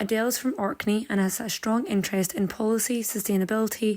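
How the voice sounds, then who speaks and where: A fairly quick pace in an ordinary speaking voice, the pitch variation ordinary. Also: woman. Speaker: podcast host. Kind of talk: podcast introduction.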